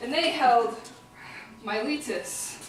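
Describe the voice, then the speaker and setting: A woman with an American accent speaks at a fairly high pitch. Room echo is audible, and there is noticeable background noise. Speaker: performer-translator of epic poetry. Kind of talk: live oral translation performance. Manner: casual, conversational asides.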